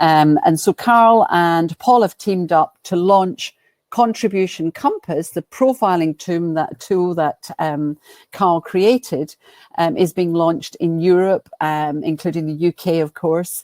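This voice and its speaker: Speaking fairly slowly in a Scottish accent, this woman has a fairly low pitch with ordinary pitch variation. The sound is dry and close, with no echo. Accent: Scottish twang. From Scotland, Glasgow. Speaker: business coach and professional speaker. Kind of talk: webinar presentation. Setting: online webinar.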